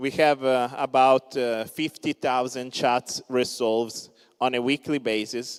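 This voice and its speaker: Speaking at a fairly slow pace in an Italian accent, a man with medium pitch and fairly even intonation is captured with a dry, close sound, no echo, on a very clean recording with a silent background. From Italy. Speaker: crypto startup founder. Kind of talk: conference talk. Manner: many filler words (uh).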